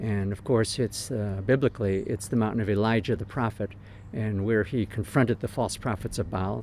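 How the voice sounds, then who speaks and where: In an ordinary speaking voice, a man with an American accent talks at a moderate pace with fairly low pitch. His intonation is fairly even, and the recording is very clean with a silent background. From United States. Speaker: pastor. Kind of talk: interview. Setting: outdoors.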